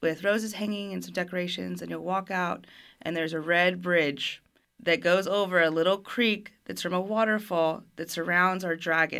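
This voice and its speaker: Her tone is bright and sharp. The woman's fairly low voice holds a fairly even intonation. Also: moderate pace. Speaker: restaurant staff member. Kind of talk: casual interview. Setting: studio.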